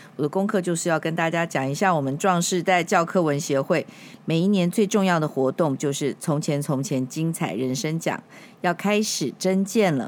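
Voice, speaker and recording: A woman with an ordinary speaking voice talks at a moderate pace, her pitch fairly low with ordinary variation. The recording is very clean, with a silent background. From Taiwan, Kaohsiung. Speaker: podcast host, public relations veteran. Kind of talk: announcement; interview.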